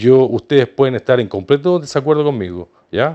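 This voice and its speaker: A man with a medium pitch. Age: 60s. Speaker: video blogger with social phobia. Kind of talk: personal opinion monologue. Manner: repetitive, halting.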